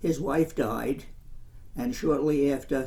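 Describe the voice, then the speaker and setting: A man with an American accent speaks at a fairly high pitch. His dark, mellow tone is somewhat breathy. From Commack, Long Island, New York. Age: 80s+. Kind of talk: interview answer.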